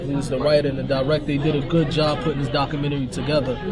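Crowd noise sits in the background as a man speaks at a very fast pace. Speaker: guest. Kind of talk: interview answer. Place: cafe. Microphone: camera far.

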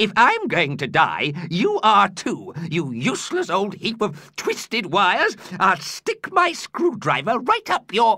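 In a dry, close recording with no echo, a man uses a put-on character voice that sits high and swings very widely in pitch, at a fairly slow pace. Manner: grumpy, pessimistic.

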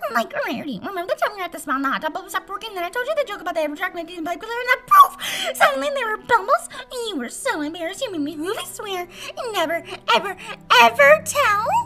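A female-sounding put-on character voice, extremely high-pitched and very fast, over clear background noise. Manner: bubbly, fast, giddy.

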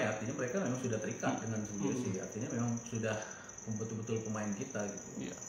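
A man talking very fast amid audible room echo and noticeable background noise. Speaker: football club technical director. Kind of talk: interview. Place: office.

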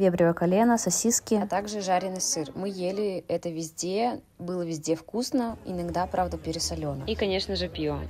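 A woman with a fairly low pitch talks at a moderate pace with hardly any pauses and ordinary pitch variation, while noticeable background noise is heard. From Siberia, Russia. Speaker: travel and knitting vlogger. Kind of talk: travel vlog narration.

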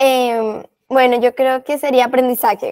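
A woman's high voice at a fairly slow pace, against a quiet background. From Colombia. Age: 20s. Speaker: volunteer. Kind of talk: interview. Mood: warm, reflective. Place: home room. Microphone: earbuds.

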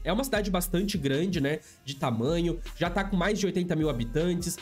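Fairly quick delivery over faint background music. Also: man. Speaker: gaming content creator. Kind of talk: gameplay commentary.

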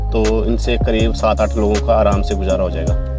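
Fairly slow male speech, dry with no echo, over clear background music. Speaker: family vlogger. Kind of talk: casual vlog talk to camera. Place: car. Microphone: lapel.

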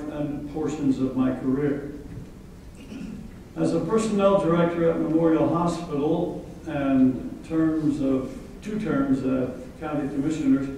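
Strong room echo and light background noise accompany a man speaking at a fairly slow pace. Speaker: guest. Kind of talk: after-lunch speech. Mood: humorous, reminiscing. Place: hall.

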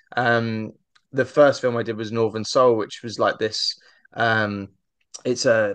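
A man speaks with a southern English accent at a moderate pace and medium pitch. The sound is dry with no echo, over a quiet background. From southern England. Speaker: actor and podcast host; actor, podcast host. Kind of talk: casual interview chat. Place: home room. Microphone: studio mic.

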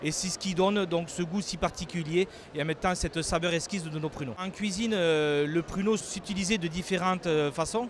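A man at high pitch in a southwestern French accent, a fairly quick pace, dry sound with no echo, and light background noise. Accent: sing-song southwestern French. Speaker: prune farmer. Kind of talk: interview answer. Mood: calm, proud of product. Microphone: handheld.

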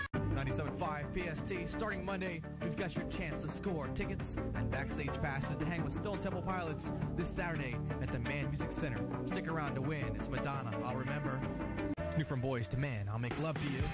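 Over loud music in the background, a man's voice comes through dry with no echo. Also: fairly quick pace. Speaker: radio DJ. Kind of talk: radio station promo and on-air DJ patter. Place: studio.

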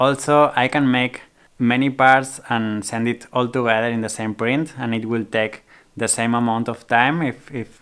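Speaking fairly slowly, a man keeps his intonation fairly even while the background stays quiet. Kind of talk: casual vlog chat. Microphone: phone near.

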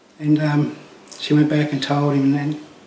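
Fairly high-pitched and fairly slow, a man speaks with audible room echo and light background noise. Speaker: legal aid client. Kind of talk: testimony. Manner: halting. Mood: calm, reflective, subdued. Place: home room.

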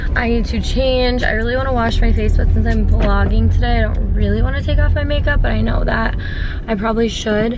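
Clear music plays in the background. A woman's voice comes through with a dry sound and no echo. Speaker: vlogger. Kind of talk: casual vlog chat. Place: car. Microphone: phone near.

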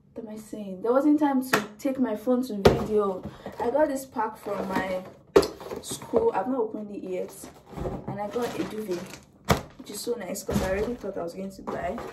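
A woman talks with ordinary pitch variation and long, frequent pauses. Loud background noise runs underneath. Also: moderate pace. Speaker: student vlogger. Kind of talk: casual vlog chat. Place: home room. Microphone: camera far.

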